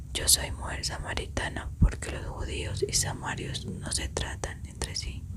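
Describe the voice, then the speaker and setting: Over noticeable background noise comes a fairly slow whisper. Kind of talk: scripture reading. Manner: whispered, soft.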